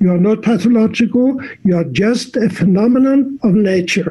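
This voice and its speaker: A man with a high voice speaks at a moderate pace with hardly any pauses, ordinary pitch variation and very even loudness. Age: 70s. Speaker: physician and sexologist. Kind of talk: interview. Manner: halting, with frequent repetitions.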